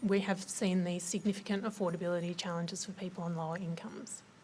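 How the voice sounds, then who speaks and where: A woman speaks with an Australian accent at a moderate pace. Her voice is somewhat breathy. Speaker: government policy officer. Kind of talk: presentation at a forum. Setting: forum with audience. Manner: hesitant, many fillers.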